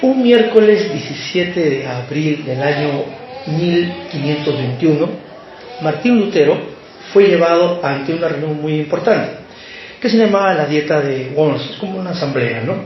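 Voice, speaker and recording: With a fairly high pitch and lively intonation, a man speaks at a fairly slow pace amid noticeable background noise and audible room echo. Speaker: lay preacher. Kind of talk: sermon. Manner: hesitant, many fillers.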